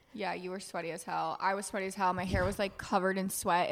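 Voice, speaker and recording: Her medium-pitched voice moving at a very fast pace, a woman speaks. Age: 20s. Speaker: podcast co-host. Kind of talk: casual chat. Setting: office. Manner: animated.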